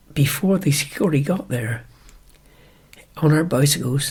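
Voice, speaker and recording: Somewhat breathy, a man speaks at a fairly high pitch and a fairly slow pace with ordinary pitch variation. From Wiltshire, England. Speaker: retired ploughing champion. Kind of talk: interview answer.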